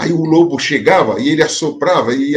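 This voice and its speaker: A man talks with a fairly high pitch and lively intonation. It is an ordinary speaking voice. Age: 60s. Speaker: pastor. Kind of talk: sermon. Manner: conversational, repetitive filler.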